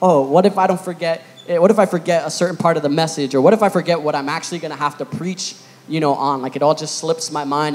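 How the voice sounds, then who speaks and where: A man speaks at a fairly quick pace, his pitch varying in an ordinary way. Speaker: youth preacher. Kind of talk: sermon. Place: church. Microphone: handheld.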